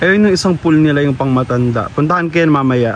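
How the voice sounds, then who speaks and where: A man's fairly high-pitched voice with ordinary pitch variation, over noticeable background noise. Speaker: travel vlogger. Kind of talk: casual vlog narration. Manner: soft-spoken.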